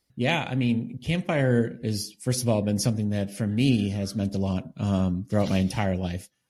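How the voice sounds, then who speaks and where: At a moderate pace, a man with an American accent speaks at a fairly low pitch in a dark, mellow tone, with ordinary pitch variation. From US Northeast, Boston suburbs. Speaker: author and leadership coach. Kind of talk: interview.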